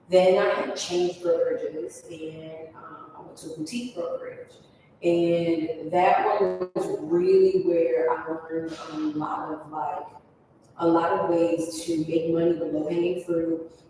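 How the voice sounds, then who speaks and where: A woman with an American accent speaks at a fairly slow pace, her loudness swinging widely over noticeable background noise. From upstate New York. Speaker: real estate agent. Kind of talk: interview.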